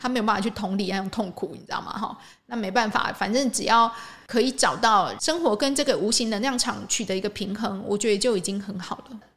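A woman's fairly high voice with a Taiwanese accent, a fairly quick pace and ordinary pitch variation. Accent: Taiwanese Mandarin. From Taiwan, Changhua. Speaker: podcast host and energy healing teacher. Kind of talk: casual monologue.

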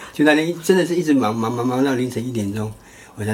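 Over noticeable background noise, a man with a Taiwanese accent talks at a fairly quick pace with ordinary pitch variation. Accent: Taiwanese Mandarin. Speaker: doctor and podcast co-host. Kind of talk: casual chat. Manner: halting.

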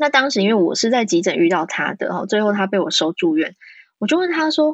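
The intonation here is lively. It comes in an ordinary speaking voice. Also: woman. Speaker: pediatrician. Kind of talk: interview.

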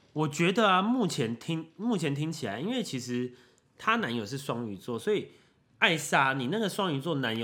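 Recorded very cleanly against a silent background, a man speaks at a moderate pace in a bright, sharp tone with very wide pitch swings. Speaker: podcast co-host. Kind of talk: casual chat. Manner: loud; energetic.

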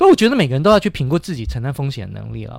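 The recording is very clean with a silent background, and the man's voice sits fairly high. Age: 50s. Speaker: economics teacher and podcast host. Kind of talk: casual chat.

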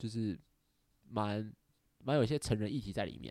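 A man's fairly low-pitched voice, dark and mellow in tone, fairly quick in pace with lively intonation. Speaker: podcast host. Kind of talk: casual chat.

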